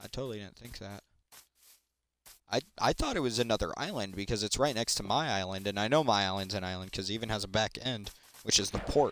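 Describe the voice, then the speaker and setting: Very fast speech comes from a man with a fairly low pitch and ordinary pitch variation. His loudness swings widely. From Britain. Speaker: gaming streamer. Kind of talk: casual gaming stream commentary. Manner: relaxed, laid-back.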